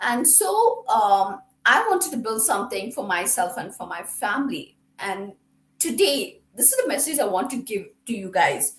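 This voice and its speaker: Pitched high, a woman's voice swings very widely in pitch and greatly in loudness at a moderate pace. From India. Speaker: administrator and home business member. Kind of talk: motivational talk.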